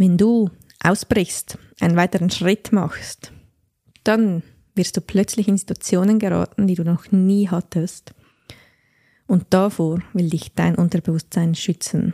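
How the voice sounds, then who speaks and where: Dark and mellow in tone, a woman's somewhat breathy, medium-pitched voice moves very slowly with long, frequent pauses and fairly even intonation. The sound is dry and close, with no echo. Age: 30s. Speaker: podcast host and life coach. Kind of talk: personal monologue.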